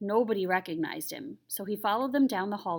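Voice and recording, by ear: The intonation is lively. The reading aloud is in a natural voice.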